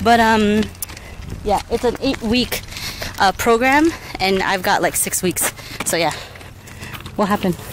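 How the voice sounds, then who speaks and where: A woman speaks at a fairly slow pace in a dry sound with no echo, though noticeable background noise is present. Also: ordinary pitch variation. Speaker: vlogger. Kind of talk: casual vlog chat. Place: street. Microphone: phone near.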